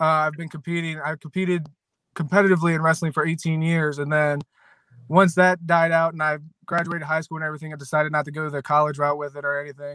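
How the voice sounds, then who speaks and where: On a very clean recording with a silent background, a man with an American accent speaks at a fairly quick pace and a fairly high pitch. His tone is bright and sharp, his intonation monotone and flat, and the sound dry and close with no echo. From Western Maryland, US. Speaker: MMA fighter and former wrestler. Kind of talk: interview. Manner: halting.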